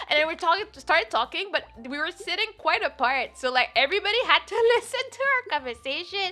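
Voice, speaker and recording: Speaking at a fairly quick pace with a non-native accent, a woman uses a raised, projected voice at an extremely high pitch, with lively intonation and an animated tone. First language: not English. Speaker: streamer. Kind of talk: casual chat. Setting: live stream.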